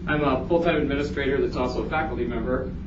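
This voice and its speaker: Speaking very fast, a man's voice carries audible room echo over noticeable background noise. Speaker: conference presenter, college administrator and faculty. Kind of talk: conference presentation.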